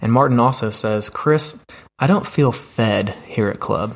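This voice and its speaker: This is a man with a plain, everyday voice at medium pitch and ordinary pitch variation. The recording is very clean, with a silent background. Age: 20s. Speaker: youth ministry director. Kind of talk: interview.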